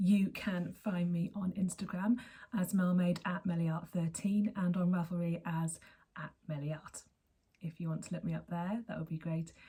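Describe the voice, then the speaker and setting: A woman's somewhat breathy voice moves at a moderate pace. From England. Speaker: knitting podcaster. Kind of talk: casual chat. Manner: chatty, with hesitations.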